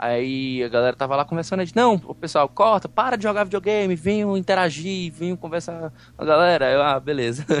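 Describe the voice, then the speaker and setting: Talking at a fairly quick pace with hardly any pauses, a man with a high pitch uses lively intonation. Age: 30s. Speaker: podcaster. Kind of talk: casual chat.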